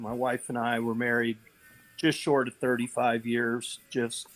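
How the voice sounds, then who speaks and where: Dry, close sound with no echo, and a man's medium-pitched voice at a fairly slow pace. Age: 60s. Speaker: panelist, widower. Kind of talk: panel discussion. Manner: halting, many fillers.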